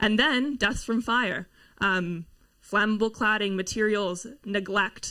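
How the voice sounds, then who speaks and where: With ordinary pitch variation, a woman's voice comes across bright and sharp in tone. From Canada. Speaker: climate housing campaigner. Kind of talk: panel talk.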